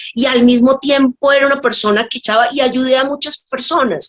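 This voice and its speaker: A woman is speaking at a moderate pace. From Colombia, Bogotá and Tocaima. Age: 60s. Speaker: nurse giving a faith testimony. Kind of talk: testimony. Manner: halting, with many fillers.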